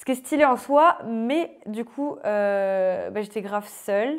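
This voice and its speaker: With ordinary pitch variation, the voice comes through on a very clean recording against a silent background. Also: woman. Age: 20s. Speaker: life coach and author. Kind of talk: casual interview. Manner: casual, hesitant with fillers.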